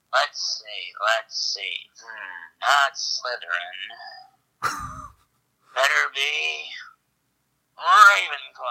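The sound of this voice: In a put-on character voice, a man speaks at a very slow pace, leaving long, frequent pauses.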